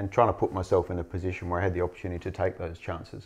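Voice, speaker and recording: With an Australian accent, a man speaks at a very deep, low pitch. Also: quiet background. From Western Australia. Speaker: mining executive. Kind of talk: interview.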